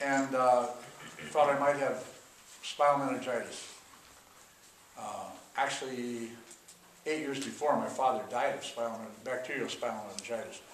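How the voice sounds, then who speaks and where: A man with an American accent speaks at a moderate pace and medium pitch, his intonation monotone and flat, with long, frequent pauses and big swings in loudness. Noticeable background noise and audible room echo fill the recording. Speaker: chiropractor and author. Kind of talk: conference talk.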